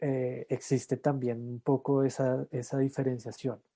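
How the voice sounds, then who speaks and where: A man with a dark, mellow tone speaks at a very slow pace and a medium pitch. The sound is dry and close with no echo, over a quiet background. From Colombia, Cundinamarca highlands (La Calera near Bogotá). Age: 40s. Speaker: regenerative farmer and permaculturist. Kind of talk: interview. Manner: halting, many fillers.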